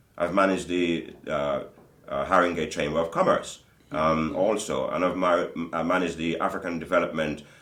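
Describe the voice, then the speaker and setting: A man talks at a moderate pace, with audible room echo and noticeable background noise. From Jamaica, raised in Britain (London). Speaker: community business leader and singer. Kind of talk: interview. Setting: studio.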